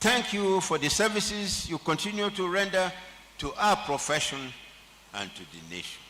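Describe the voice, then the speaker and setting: A man speaks at a moderate pace in a raised, projected voice with a high pitch. Noticeable background noise can be heard. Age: 70s. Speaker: honorary degree recipient, senior lawyer. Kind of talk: acceptance speech. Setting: convocation ceremony. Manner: formal.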